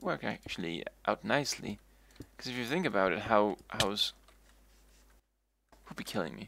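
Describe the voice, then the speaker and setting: In a very clean recording with a silent background, a man talks at a moderate pace with vocal fry and very wide pitch swings. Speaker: video game streamer. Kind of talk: live gameplay commentary. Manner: stuttering, repeating words; casual, rambling with fillers.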